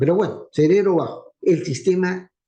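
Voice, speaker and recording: A dark, mellow tone at a fairly slow pace, with ordinary pitch variation. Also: man. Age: old. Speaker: university professor. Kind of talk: lecture. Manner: fluent.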